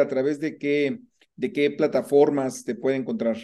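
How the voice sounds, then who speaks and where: A man is speaking. His pace is moderate. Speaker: podcast host, personal finance coach. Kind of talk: interview. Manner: hesitant, many fillers.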